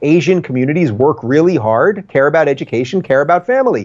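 Behind the speaker, things are quiet. He gets his words out at a fairly quick pace. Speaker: remote interview guest. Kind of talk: interview answer. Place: home room. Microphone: video call.

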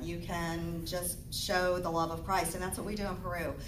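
Speech from a woman at a moderate pace, with noticeable background noise behind it. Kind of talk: temple talk to congregation. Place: church. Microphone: camera far.

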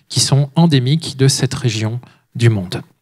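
Against a quiet background, a man speaks at a medium pitch with a somewhat breathy sound. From France. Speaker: author and speaker; speaker. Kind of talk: lecture; Q&A answers. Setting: stage with audience. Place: hall. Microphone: handheld.

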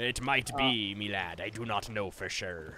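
Someone uses a put-on character voice against clear background noise. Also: man. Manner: gruff, theatrical.

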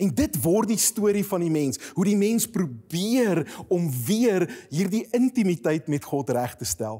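The voice has a dark, mellow tone and very wide pitch swings. The background is quiet. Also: man, high pitch for a man. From Free State, South Africa (Koppies); Free State, South Africa. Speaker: pastor. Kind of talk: sermon. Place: studio. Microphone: lapel.

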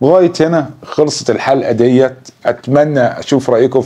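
Plain reading aloud fills the recording.

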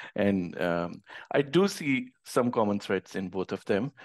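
A man speaks at a fairly low pitch. The background is quiet. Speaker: interview show host and platform founder. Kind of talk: casual interview. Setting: video call. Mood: friendly, enthusiastic. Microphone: video call.

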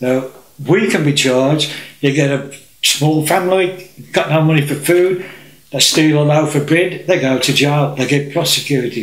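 A man speaks with very even loudness and ordinary pitch variation. Audible room echo surrounds his voice. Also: fairly high pitch for a man, moderate pace. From England. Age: old. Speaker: political campaigner. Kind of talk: presentation to camera. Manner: halting. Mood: indignant, earnest. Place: home room. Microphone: camera far.

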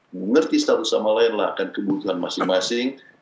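A man speaks with faint music playing behind him. The room's echo is audible. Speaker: pastor and marriage counselor; pastor counselor guest. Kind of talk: teaching talk on marriage. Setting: video call from the United States. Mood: calm advisory. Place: home room. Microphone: webcam.

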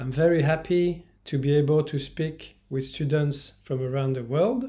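A man with a Parisian accent speaks at a very slow pace, in a fairly high voice with a dark, mellow tone and somewhat breathy delivery. His intonation is fairly even, and the background is quiet. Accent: classic Parisian. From France, Paris. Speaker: language teacher; French teacher. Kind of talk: promotional introduction; self-introduction promo talk. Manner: bilingual, repeating each line in English. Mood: friendly, smiling. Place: home room. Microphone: phone near.

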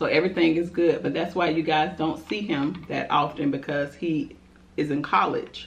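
At a moderate pace, a woman speaks in a very deep, low, somewhat breathy voice with fairly even intonation. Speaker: food vlogger. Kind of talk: casual vlog chat, Q&A while eating. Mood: relaxed, chatty, laughing. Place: home room. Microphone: camera far.

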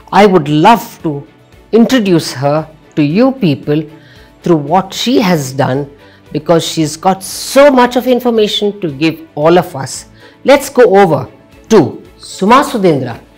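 Faint music plays behind a woman who speaks at a fairly slow pace. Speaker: show host. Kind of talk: interview question. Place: studio.

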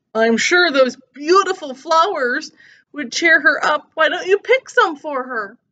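A woman puts on a character voice, pitched high. She delivers it at a fairly slow pace. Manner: sweet-talking, deceptive.

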